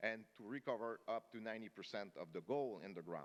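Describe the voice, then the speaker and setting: Lively intonation in a strong French-Canadian accent. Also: man. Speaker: mining company executive. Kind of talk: investor conference presentation. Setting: conference stage with audience. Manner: fast.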